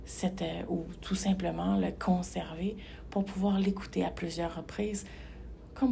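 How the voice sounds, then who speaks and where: Audible room echo around a woman talking at a fairly slow pace. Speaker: hypnotherapist. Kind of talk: guided meditation. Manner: calm, measured; slow, soft.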